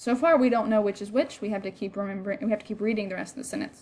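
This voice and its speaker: A woman with a normal speaking voice has fairly high pitch and ordinary pitch variation. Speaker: Spanish teacher. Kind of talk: lecture.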